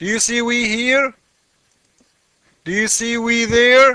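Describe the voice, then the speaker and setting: A man's raised, projected voice, pitched extremely high. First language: not English. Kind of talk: screen-share commentary. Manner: animated.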